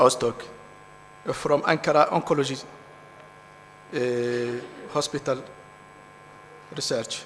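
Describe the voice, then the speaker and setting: A man speaks at a fairly slow pace with long, frequent pauses and fairly even intonation over noticeable background noise. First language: French or Arabic. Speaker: conference session chair. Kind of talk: session chairing. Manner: halting.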